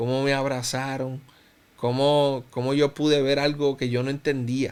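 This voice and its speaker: A man speaks at a fairly high pitch and a fairly slow pace. His intonation is monotone and flat. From Cuba, raised in Puerto Rico from about age 10. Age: 30s. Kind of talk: interview, personal testimony.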